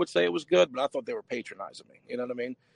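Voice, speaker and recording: A man in a Southern US accent, very fast, with very wide pitch swings and a dry, close sound with no echo. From Louisiana, Chalmette. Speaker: independent artist. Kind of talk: casual chat.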